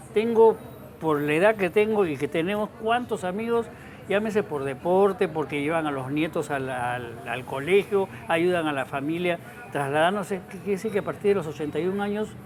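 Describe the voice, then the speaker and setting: Noticeable background noise accompanies a man with a high voice who talks at a fairly quick pace with lively intonation. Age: 70s. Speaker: talk show host. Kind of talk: casual chat.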